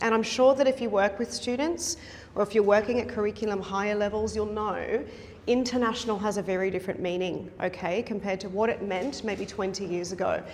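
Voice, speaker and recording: In an Australian accent, a woman speaks at a medium pitch and fairly quick pace with ordinary pitch variation, the room echo audible and the background noise noticeable. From South Africa. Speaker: university instructor and researcher. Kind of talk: conference presentation. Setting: conference session with audience.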